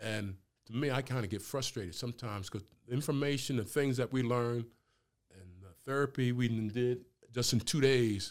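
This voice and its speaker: A man with an American accent uses a plain, everyday voice at medium pitch, moderate pace and ordinary pitch variation. His loudness swings widely in a very clean recording with a silent background. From New Jersey (Camden). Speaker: retired pro football player. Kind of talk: casual interview conversation.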